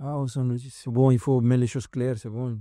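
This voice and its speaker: On a very clean recording with a silent background, a man with a dark, mellow tone talks at a moderate pace in monotone, flat intonation. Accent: Latin American Spanish. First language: Spanish (speaking French). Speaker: CrossFit athlete and coach. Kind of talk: casual podcast interview. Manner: halting, searching for French words.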